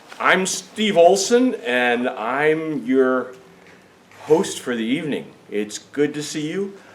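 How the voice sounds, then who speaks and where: A man speaks at a very slow pace, his pitch fairly high and swinging very widely. Noticeable background noise runs behind him. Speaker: travel tour organizer and teacher. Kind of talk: informational meeting presentation. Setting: meeting room with small audience, recorded on camera.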